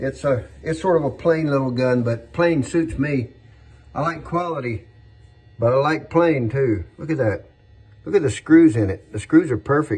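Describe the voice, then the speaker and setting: A man talks at a moderate pace in a fairly high pitch. His voice is somewhat breathy, with lively intonation. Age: 60s. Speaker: firearms collector and saddle maker. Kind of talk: casual show-and-tell video. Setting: his workshop. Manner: relaxed, hesitant with repetitions.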